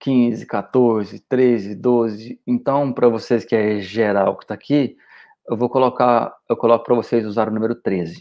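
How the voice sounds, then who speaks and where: A man's voice at medium pitch. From Goiânia, Brazil. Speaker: weight-loss diet coach. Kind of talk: solo podcast monologue. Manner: animated.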